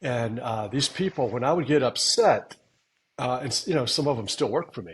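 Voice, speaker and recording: At a medium pitch, a man talks with a somewhat breathy quality. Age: 60s. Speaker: podcast co-host, veteran trader. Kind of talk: casual chat.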